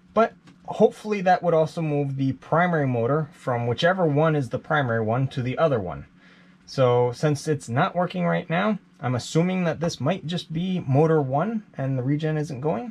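At a moderate pace, a man is talking. There is a somewhat breathy quality to his voice. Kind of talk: tutorial. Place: boat. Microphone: phone near.

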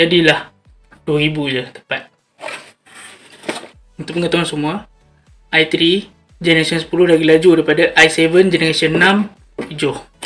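A man speaks in a flat monotone at a fairly slow pace, with long, frequent pauses and faint music in the background. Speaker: product reviewer. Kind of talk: casual unboxing commentary. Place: home room. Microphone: phone near.

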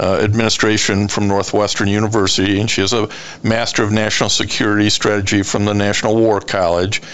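A man with a fairly low pitch, monotone, flat intonation, and a fairly quick pace, over noticeable background noise. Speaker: radio show host. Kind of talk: radio interview host talk.

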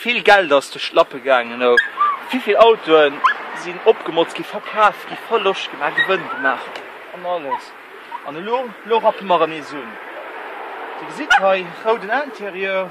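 Loud background noise sits behind a man whose voice is dry, with no echo. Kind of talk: casual vlog chat. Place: street. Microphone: phone near.

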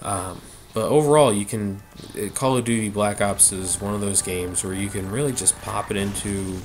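Noticeable background noise sits under a man's fairly low-pitched voice. He talks at a moderate pace with ordinary pitch variation. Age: 20s. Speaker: gaming YouTuber. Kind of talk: let's play commentary. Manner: halting, many fillers; casual rambling.

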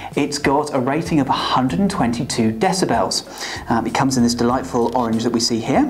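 Faint music plays behind a man who talks at a fairly quick pace, with ordinary pitch variation and very even loudness. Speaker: product presenter. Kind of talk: product review to camera. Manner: casual, dry humour. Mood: light, dry humour. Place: studio. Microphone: lapel.

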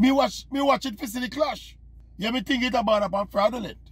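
Recorded dry with no echo, a man speaks with a Jamaican accent. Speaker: sports commentator. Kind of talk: opinion monologue to camera. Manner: animated. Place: car. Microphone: phone near.

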